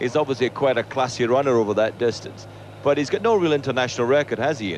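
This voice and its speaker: Very fast speech from a man in a Scottish accent, medium in pitch, over noticeable background noise. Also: ordinary pitch variation. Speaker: athletics commentator. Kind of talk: live commentary.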